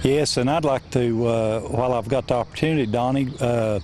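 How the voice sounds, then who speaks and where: Noticeable background noise sits under a man who talks at a moderate pace, his pitch varying in an ordinary way. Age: 60s. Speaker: senior amateur golfer. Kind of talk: interview. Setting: outdoors at a golf course. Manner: halting.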